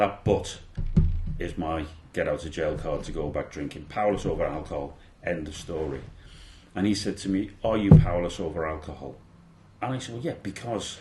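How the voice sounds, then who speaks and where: With a Liverpool accent, a man speaks in a very deep, low, somewhat breathy voice. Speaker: former police officer. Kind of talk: interview answer.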